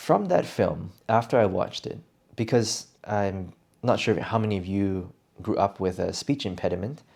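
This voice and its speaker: A man with a plain, everyday voice speaks at a moderate pace and fairly low pitch, with ordinary pitch variation. The recording is very clean, with a silent background. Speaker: English speaking coach. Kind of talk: improvised podcast talk. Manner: casual, conversational.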